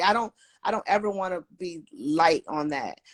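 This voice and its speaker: A woman with an unremarkable speaking voice of medium pitch uses lively intonation, the sound dry and close with no echo. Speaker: electrician and construction project manager. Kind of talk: casual interview on a livestream. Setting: livestream.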